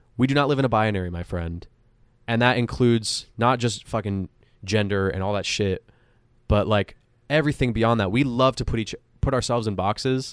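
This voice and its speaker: At a fairly quick pace and medium pitch, a man talks in an unremarkable speaking voice with ordinary pitch variation, in a very clean recording with a silent background. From Montreal, Canada. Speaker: actor and music producer. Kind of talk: casual chat.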